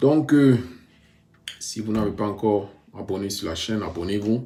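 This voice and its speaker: Audible room echo surrounds a man's somewhat breathy voice. He speaks at a fairly slow pace. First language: bilingual, mostly English-dominant (speaking French). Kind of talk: personal testimony vlog. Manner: halting, many hesitations.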